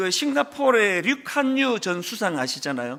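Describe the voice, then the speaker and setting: Raising and projecting his voice, a man speaks fairly slowly at a high pitch with a bright, sharp tone and very wide pitch swings. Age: 60s. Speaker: pastor. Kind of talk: sermon. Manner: conversational, with fillers.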